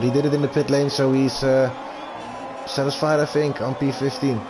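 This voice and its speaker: A man with a Dutch accent speaks very fast at a medium pitch. Noticeable background noise is present. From Netherlands. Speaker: esports race commentator. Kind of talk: live commentary.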